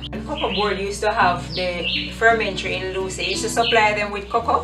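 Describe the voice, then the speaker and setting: A woman at a fairly quick pace with clear music in the background. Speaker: community interviewer. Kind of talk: casual interview conversation. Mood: calm reminiscing. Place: home room.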